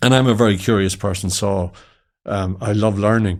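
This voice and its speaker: A man with a west of Ireland accent speaks at a fairly low pitch and a fairly quick pace. The recording is very clean, with a silent background. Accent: west of Ireland Irish. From Ireland, County Mayo. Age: 60s. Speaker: entrepreneur. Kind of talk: interview chat.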